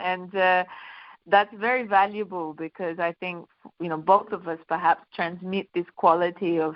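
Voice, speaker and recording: A woman with a fairly low pitch and fairly even intonation speaks in an unremarkable speaking voice. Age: 50s. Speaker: singer and women's workshop facilitator. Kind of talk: interview.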